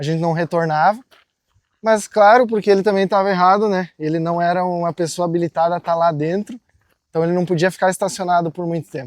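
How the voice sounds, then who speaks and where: Very fast delivery with fairly even intonation. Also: man, high pitch for a man. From Brazil. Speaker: travel vlogger. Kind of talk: casual vlog talk. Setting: outdoors, walking.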